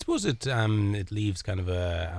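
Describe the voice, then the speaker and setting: A man talks in a Kilkenny Irish accent, his voice somewhat breathy and his intonation fairly even. The recording is very clean, with a silent background. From Ireland, Kilkenny. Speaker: charity volunteer. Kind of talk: interview. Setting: studio.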